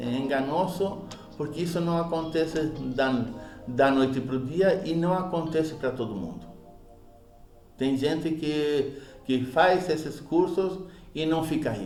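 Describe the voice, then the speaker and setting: With music in the background and audible room echo, a man speaks at a fairly high pitch and a fairly slow pace, using ordinary pitch variation and long, frequent pauses. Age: 50s. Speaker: public speaking teacher. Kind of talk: lecture. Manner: halting, repeats syllables.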